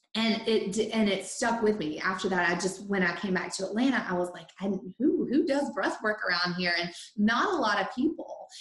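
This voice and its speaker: A woman talks with lively intonation and hardly any pauses. Background noise is noticeable. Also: medium pitch for a woman, moderate pace. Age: 40s. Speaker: breathwork facilitator and energy coach. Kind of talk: casual chat. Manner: animated.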